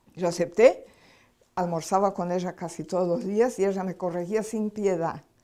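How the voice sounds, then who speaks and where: This woman has a dark, mellow tone. Her intonation is fairly even. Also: very clean recording, silent background. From Brazil. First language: Portuguese (speaking Spanish). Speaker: spiritual healing lecturer. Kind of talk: lecture.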